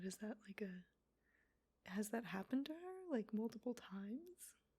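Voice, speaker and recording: The voice is soft-spoken and somewhat breathy. Its tone is dark and mellow. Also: woman. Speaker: ASMR creator. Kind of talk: soft-spoken ASMR commentary. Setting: stereo microphone, ear to ear. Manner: soft-spoken, casual, snarky.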